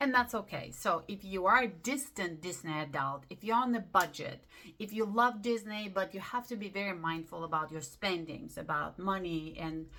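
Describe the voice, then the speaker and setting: Upbeat, medium-pitched woman's voice with lively intonation over background music. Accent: non-native. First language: not English. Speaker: lifestyle vlogger. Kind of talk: casual talk to camera. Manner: halting.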